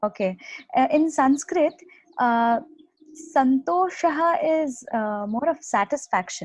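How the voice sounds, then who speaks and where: With a Marathi accent, a woman speaks very slowly in a high voice with lively intonation and long, frequent pauses. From India, Mumbai. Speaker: Sanskrit graduate. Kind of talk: casual language comparison chat. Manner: halting, many fillers.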